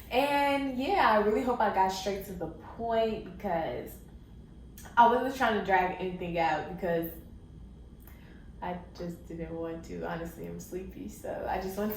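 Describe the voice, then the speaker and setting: A woman speaks at a fairly slow pace with big swings in loudness, amid audible room echo and noticeable background noise. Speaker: YouTuber giving life advice. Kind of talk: casual vlog monologue.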